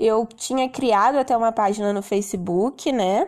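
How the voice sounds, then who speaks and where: This woman speaks fairly slowly, and the background is quiet. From Rio de Janeiro, Brazil. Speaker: English teacher and podcast host. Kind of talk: solo podcast monologue.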